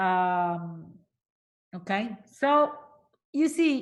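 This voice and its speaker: A woman in an Italian accent, with very wide pitch swings. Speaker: linguistics professor. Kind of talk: lecture.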